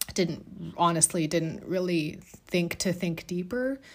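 A woman with a normal speaking voice at a medium pitch talks at a fairly slow pace on a very clean recording with a silent background. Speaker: art therapist and podcast host. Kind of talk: solo podcast monologue, personal storytelling. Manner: conversational, filler words, warm.

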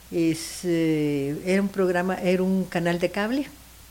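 A woman talks at a fairly slow pace with medium pitch and ordinary pitch variation. Noticeable background noise runs under her voice. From Guatemala. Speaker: singer. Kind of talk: casual chat.

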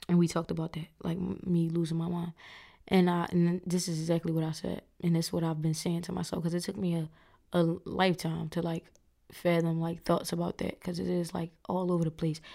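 A woman speaks fairly quickly in a raspy, dark, mellow tone, fairly low in pitch and monotone, with flat intonation. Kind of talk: casual chat. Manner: loud, says what she wants.

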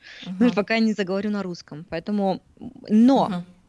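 A woman's medium-pitched voice with a slight Russian accent. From Siberia, Krasnoyarsk. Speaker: fitness trainer and blogger. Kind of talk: casual chat.

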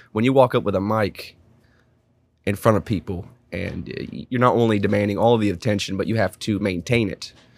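Fairly low in pitch with ordinary variation, the man has a plain, everyday voice. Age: 20s. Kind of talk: casual chat.

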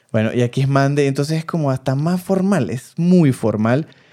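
A man speaks with a strong Venezuelan accent. His tone is dark and mellow, with lively intonation. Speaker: podcast co-host. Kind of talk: casual chat. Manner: loud, forceful.

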